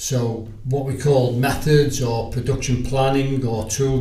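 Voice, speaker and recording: Audible room echo surrounds a man who speaks with monotone, flat intonation. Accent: Liverpool. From Liverpool, England. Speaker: sales agent. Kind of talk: podcast interview.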